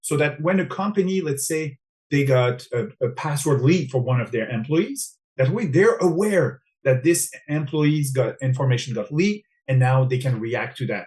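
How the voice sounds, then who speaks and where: Somewhat breathy, a man with a French-Canadian accent talks at a fairly high pitch and moderate pace with lively intonation. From Quebec, Montreal. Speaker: cybersecurity specialist. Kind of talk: interview.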